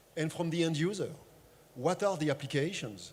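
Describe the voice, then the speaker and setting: Speaking at a fairly quick pace, a man has a French accent and a somewhat breathy sound. His pitch varies in an ordinary way. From France. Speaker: tech industry panelist. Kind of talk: panel discussion.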